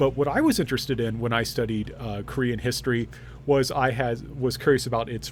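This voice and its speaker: A man talking at a very fast pace with an American accent, medium pitch, vocal fry and fairly even intonation. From small-town Indiana, US Midwest. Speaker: history professor. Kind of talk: self-introduction video for students. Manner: hesitant, many fillers.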